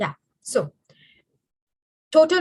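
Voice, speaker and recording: The somewhat breathy voice of a woman comes across dry and close, with no echo. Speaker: public health doctor. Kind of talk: conference presentation. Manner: hesitant, many fillers.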